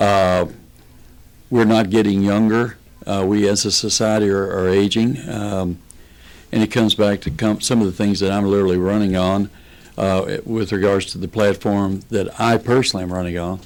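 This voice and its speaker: Talking at a moderate pace in a Kentucky accent, a man uses a fairly low pitch and monotone, flat intonation. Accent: Kentucky Southern US. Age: 60s. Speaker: political candidate and farmer. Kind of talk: radio interview.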